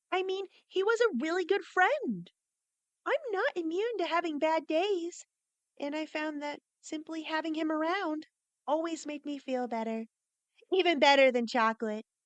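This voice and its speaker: An extremely high, squeaky, female-sounding put-on character voice at a moderate pace. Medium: audio drama. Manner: warm, earnest, direct.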